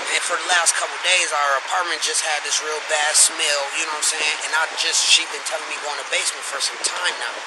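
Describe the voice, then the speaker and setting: Over noticeable background noise, the voice runs at a fairly quick pace with hardly any pauses and a monotone, flat intonation. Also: man, fairly high pitch for a man. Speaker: witness reporting to police. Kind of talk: bodycam conversation with police. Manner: whispering.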